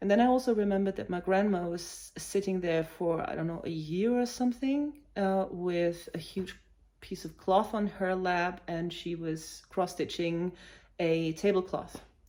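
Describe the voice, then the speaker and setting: A woman with a German accent speaks at a moderate pace and medium pitch, her tone dark and mellow, with ordinary pitch variation. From Germany, village near Hanover. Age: 40s. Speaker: cross-stitch vlogger. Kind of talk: casual vlog talk. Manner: hesitant, many fillers.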